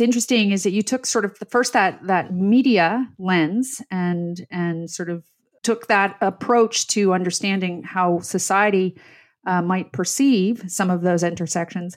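A woman with a Canadian accent and a normal speaking voice talks at a fairly slow pace and medium pitch with ordinary pitch variation, on a very clean recording with a silent background. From Canada, Ottawa. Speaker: podcast host, leadership program founder. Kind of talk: interview.

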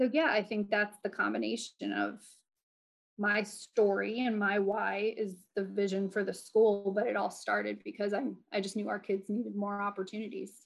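A woman with an American accent has an ordinary speaking voice at medium pitch. She keeps a moderate pace and fairly even intonation. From New Jersey. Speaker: educator and former school principal. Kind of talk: casual interview chat.

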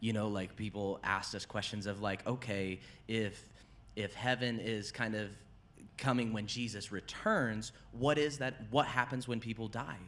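This man has a normal speaking voice with a medium pitch. He talks at a moderate pace, keeping his intonation fairly even. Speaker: pastor and podcast host. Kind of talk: casual chat.

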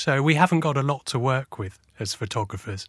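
A man with a medium-pitched voice speaks at a moderate pace. The sound is dry and close, with no echo. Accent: southern English. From southern England. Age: 40s. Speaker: photojournalist. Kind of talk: interview. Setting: studio.

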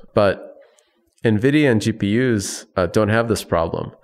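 A man with an American accent and an unremarkable speaking voice talks at a fairly slow pace with fairly even intonation, on a very clean recording with a silent background. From US Midwest, Chicago area. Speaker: tech company founder and CEO. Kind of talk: interview.

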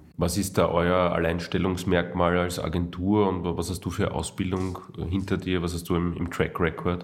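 A man with a very deep, low pitch, monotone, flat intonation and a moderate pace, in audible room echo. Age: 30s. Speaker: podcast host. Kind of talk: interview.

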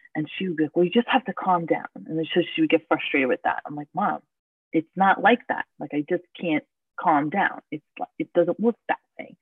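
This woman has an unremarkable speaking voice, pitched fairly low. She speaks with an American accent. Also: lively intonation, moderate pace, big swings in loudness. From New York City (Queens). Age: 30s. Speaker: mother of twins. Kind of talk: casual chat.

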